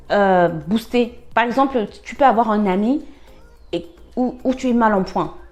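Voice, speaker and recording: A woman's fairly high-pitched, animated voice at a fairly slow pace, with ordinary pitch variation. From Cameroon. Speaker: life-lessons vlogger. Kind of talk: personal advice monologue. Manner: halting, many fillers and repetitions; animated, conversational.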